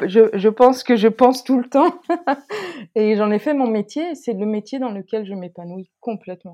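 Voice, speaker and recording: A woman's fairly high voice has a dark, mellow tone, ordinary pitch variation, a moderate pace and big swings in loudness. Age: 40s. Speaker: sociologist. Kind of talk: interview. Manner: halting.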